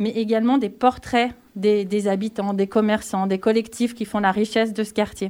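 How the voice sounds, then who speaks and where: At a moderate pace, the speaker uses a normal speaking voice with fairly even intonation. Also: woman. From Grésivaudan valley near Grenoble, France. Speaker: cultural association project manager. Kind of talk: radio interview.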